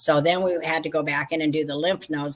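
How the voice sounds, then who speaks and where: Against noticeable background noise, a woman with a very deep, low pitch talks at a fairly quick pace in a monotone, flat intonation. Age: 60s. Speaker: vintage seller and crafter. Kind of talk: casual chat.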